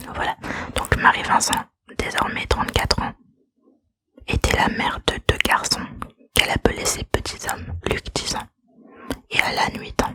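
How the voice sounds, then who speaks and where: A woman whispers at a fairly slow pace, pausing often and at length. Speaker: ASMR creator. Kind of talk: true crime narration. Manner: whispered, soft-spoken.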